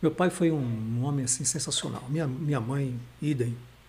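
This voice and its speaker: A man's somewhat breathy, fairly high voice. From Recife, Pernambuco, Brazil. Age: 60s. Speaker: pastor and teacher. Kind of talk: casual interview. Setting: studio livestream.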